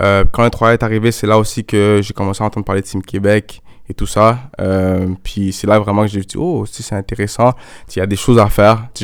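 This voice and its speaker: A man talks at a fairly quick pace in a fairly low pitch, with monotone, flat intonation. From Montreal, Quebec. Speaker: soccer player. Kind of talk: interview. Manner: casual, hesitant fillers.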